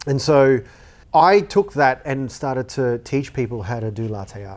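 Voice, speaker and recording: Ordinary pitch movement from a man with an Australian accent. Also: very clean recording, silent background. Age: 40s. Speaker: former cafe owner and studio owner. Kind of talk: casual interview.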